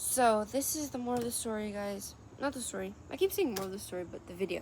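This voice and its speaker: At a very fast pace, a woman with a fairly high pitch talks in big swings of loudness. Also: ordinary pitch variation. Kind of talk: religious vlog talk. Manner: halting, many ums, slurs words.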